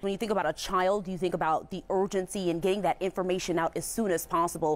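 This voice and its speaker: A woman talks at a very fast pace with a medium pitch and ordinary pitch variation. Noticeable background noise is audible. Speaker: news anchor and reporter. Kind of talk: TV news anchoring and live reporting.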